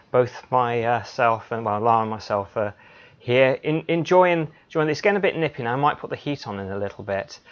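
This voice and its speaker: Noticeable background noise sits behind a man talking at a fairly quick pace. His medium-pitched voice has lively intonation. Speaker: NLP practitioner and hypnotherapist, host. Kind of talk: live show host introduction.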